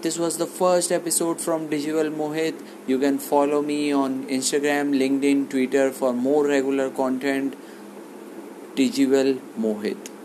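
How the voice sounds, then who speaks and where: Noticeable background noise sits behind a man with a fairly high pitch. His intonation is fairly even and his pace moderate. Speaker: digital marketing content creator. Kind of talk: tutorial.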